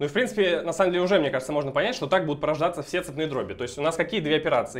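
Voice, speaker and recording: One man, quiet background. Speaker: mathematics graduate student. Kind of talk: math lecture explanation. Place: classroom. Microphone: camera far.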